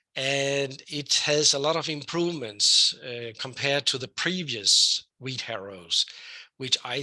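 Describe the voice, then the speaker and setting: A man with a Danish accent, at a fairly slow pace with ordinary pitch variation. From Denmark. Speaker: professor, weed scientist. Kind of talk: lecture. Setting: online webinar. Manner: hesitant, with many fillers.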